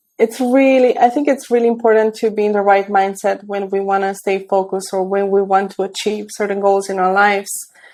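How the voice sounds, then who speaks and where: A woman's medium-pitched voice at a fairly quick pace, with hardly any pauses. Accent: Romanian. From Romania. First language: Romanian. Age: 30s. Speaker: tech entrepreneur and mentor. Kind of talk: interview. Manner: hesitant, many fillers.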